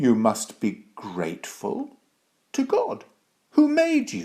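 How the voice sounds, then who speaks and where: Putting on a character voice, a man speaks at a very slow pace. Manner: very serious.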